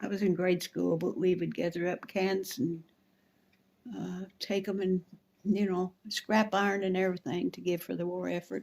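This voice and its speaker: A woman speaks with flat, monotone intonation. Her voice stays at a medium pitch. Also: moderate pace. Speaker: family elder recalling the Depression and WW2. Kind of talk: interview answer.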